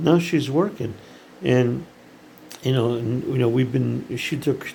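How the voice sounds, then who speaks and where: Over noticeable background noise, a man with an American accent speaks at a fairly slow pace and medium pitch. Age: 70s. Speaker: startup founder, CEO. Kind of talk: casual monologue to camera. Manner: halting, many fillers.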